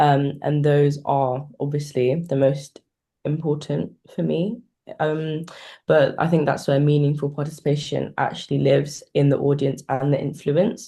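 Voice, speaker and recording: Speaking at a fairly slow pace, a woman has a very deep, low pitch, a dark, mellow tone, a somewhat breathy quality, and fairly even intonation. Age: young. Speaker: young participation advocate. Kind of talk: panel discussion on video call.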